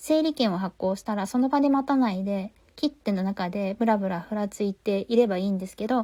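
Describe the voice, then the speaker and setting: Recorded dry and close with no echo against a silent background, a woman talks at a fairly quick pace on a very clean recording. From Tokyo, Japan. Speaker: podcast host. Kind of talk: casual podcast review talk.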